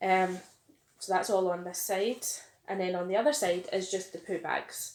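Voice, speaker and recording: In a Scottish accent, a woman speaks at a moderate pace and medium pitch. Her intonation stays fairly even. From Glasgow, Scotland. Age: 30s. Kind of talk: casual talk to camera.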